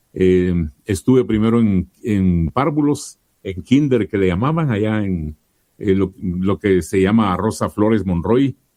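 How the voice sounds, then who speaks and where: Speaking fairly slowly with lively intonation, a man has a fairly low pitch and a dark, mellow tone in a dry, close sound with no echo. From Guatemala, Chiquimula. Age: 60s. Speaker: radio announcer and commercial voice-over artist. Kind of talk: interview.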